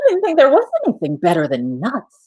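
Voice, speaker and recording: A put-on character voice runs at a fairly quick pace. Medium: read story.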